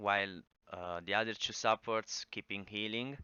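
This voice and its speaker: A man speaks with an Italian accent. His pitch varies in an ordinary way. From Italy. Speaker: gaming guide creator. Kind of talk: tutorial. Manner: halting, many fillers.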